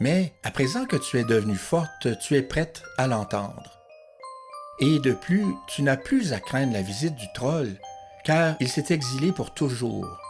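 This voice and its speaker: With music in the background, a man speaks at a very slow pace in a fairly high voice with lively intonation. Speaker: narrator. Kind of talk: audiobook story narration.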